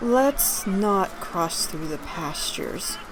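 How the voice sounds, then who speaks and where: A woman puts on a gruff character voice at a medium pitch, speaking at a very slow pace over loud background noise. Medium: read story. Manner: gruff but gentle.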